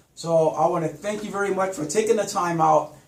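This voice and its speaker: A man's high-pitched voice with ordinary pitch variation, audible room echo and noticeable background noise. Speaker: talk show host. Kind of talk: interview.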